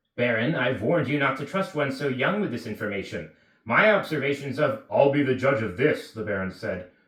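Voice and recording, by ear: Someone reads aloud in a natural voice. Their intonation stays lively.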